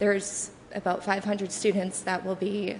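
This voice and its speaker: A soft-spoken woman talks at a moderate pace in a medium pitch. Her intonation stays monotone and flat. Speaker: public commenter. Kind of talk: public comment at council meeting. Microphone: too quiet, far from the microphone.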